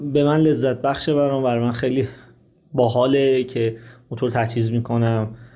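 Speaking at a fairly quick pace, a man uses a normal speaking voice at medium pitch with fairly even intonation. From Iran, Qazvin. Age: 30s. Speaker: motorcycle traveler. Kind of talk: interview.

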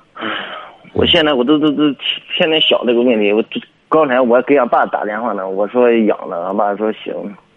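Speech comes at a fairly quick pace broken by long, frequent pauses, with noticeable background noise. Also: man, medium pitch for a man, ordinary pitch variation. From Heze, Shandong, China. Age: 20s. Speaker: excavator operator, caller. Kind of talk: phone call-in advice. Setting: phone call. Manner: stammering.

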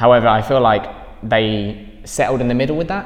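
Very rapid speech from a man, noticeable noise behind it. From East Anglia, England. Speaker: film critic. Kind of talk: casual film review discussion.

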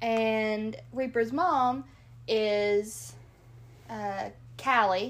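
In a Kentucky accent, a woman talks at a very slow pace with long, frequent pauses. Her pitch is fairly high, with ordinary pitch variation. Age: 20s. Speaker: co-host, nurse and hunter. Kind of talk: casual chat.

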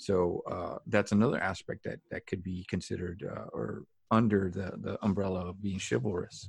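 The voice has vocal fry and ordinary pitch variation, moving at a moderate pace with hardly any pauses. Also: man, very deep, low pitch for a man. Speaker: podcast host. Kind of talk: casual conversation. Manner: faith-focused, sincere.

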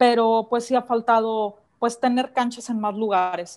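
A woman's plain, everyday voice at a fairly high pitch, with fairly even intonation and a moderate pace. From Mexico, Guanajuato. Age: 30s. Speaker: professional racquetball player. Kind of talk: interview.

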